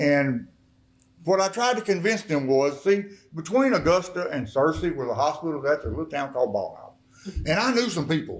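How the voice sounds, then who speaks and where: A man with a fairly high pitch, an animated tone, very wide pitch swings and a fairly quick pace. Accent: Arkansas. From Arkansas. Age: 60s. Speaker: recovered addict and mayor giving testimony. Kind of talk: testimony. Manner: animated storytelling.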